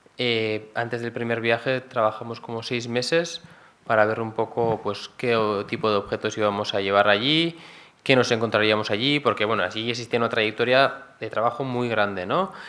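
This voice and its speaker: A man with a bright, sharp tone speaks at a moderate pace and medium pitch, with ordinary pitch variation, in a very clean recording with a silent background. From Basque Country, Gipuzkoa. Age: young. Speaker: engineer in development cooperation. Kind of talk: talk Q&A with audience. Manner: hesitant, many fillers.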